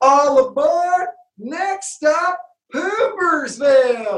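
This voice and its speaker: This is a put-on character voice with a Baltimore accent and a high pitch. The delivery is very slow. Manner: playful, comical.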